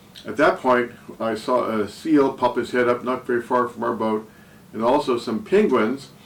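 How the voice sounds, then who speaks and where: A man at medium pitch and moderate pace, with noticeable background noise. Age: 70s. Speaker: travel vlogger. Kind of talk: scripted narration. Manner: hesitant with fillers.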